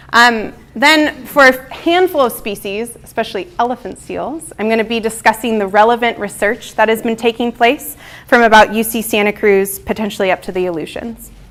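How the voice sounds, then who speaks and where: A woman speaks with a fairly high pitch and ordinary pitch variation. Noticeable background noise runs underneath. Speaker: marine mammal researcher. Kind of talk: lecture. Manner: fast.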